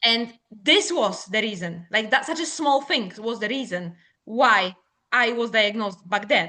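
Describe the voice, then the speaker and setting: A woman with a Polish accent speaks at a fairly slow pace. Her tone is bright and sharp, with a fairly high pitch. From Poland. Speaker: business owner. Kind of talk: podcast interview. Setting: podcast recording.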